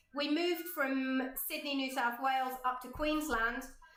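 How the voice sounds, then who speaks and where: A high-pitched woman's voice at a very slow pace, with audible room echo. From Cornwall, England. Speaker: art teacher. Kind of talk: online workshop chat. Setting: livestream video from home studio.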